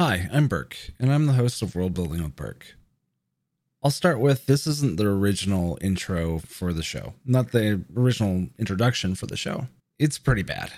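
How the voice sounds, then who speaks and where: Over a silent background in a very clean recording, a man with a fairly low pitch speaks at a moderate pace with very wide pitch swings. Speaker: podcast host and dungeon master. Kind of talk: casual solo podcast intro. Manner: casual, conversational, freeform.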